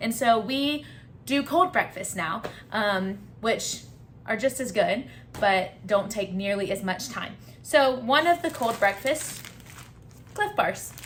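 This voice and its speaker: A woman's fairly high voice with a Southern US accent and lively intonation, at a very slow pace with long, frequent pauses. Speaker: travel vlogger. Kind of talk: casual gear and food walkthrough.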